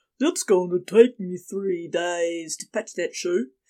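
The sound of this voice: Doing a put-on character voice in a New Zealand accent, a woman speaks at medium pitch and a fairly slow pace. Her loudness swings widely.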